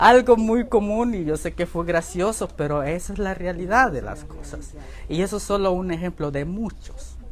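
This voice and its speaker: The speaker talks at a moderate pace in a Guatemalan accent. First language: K'iche' (speaking Spanish). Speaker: Bible institute teacher. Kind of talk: lecture. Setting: church classroom, also streamed online.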